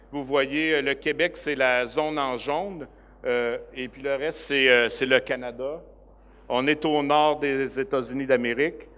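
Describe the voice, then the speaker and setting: With fairly even intonation, a man talks very slowly at a fairly high pitch. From Quebec. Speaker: director of a cooperative organization. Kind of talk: conference presentation. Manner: hesitant, many fillers.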